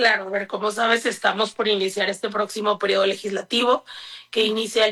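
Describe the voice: This woman's voice has a bright, sharp tone and fairly even intonation.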